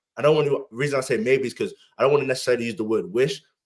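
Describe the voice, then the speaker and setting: A man with a British accent talks at a very fast pace. His pitch is fairly high, with ordinary pitch variation. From UK. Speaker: podcast host. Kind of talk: casual chat. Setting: live stream.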